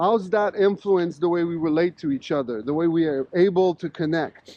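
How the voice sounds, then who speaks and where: This man speaks in a high pitch with a Quebec accent. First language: French. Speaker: professor. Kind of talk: casual interview conversation while walking. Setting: outdoors walking in snowstorm. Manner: animated.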